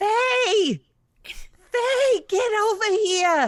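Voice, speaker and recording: A put-on character voice comes through squeaky and extremely high in pitch. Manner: loud, urgent, calling out.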